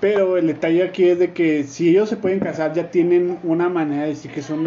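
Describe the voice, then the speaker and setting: Over noticeable background noise, a man with a Mexican accent speaks in an animated tone at a fairly high pitch, with ordinary pitch variation. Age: 30s. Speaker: podcast host. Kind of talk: casual chat.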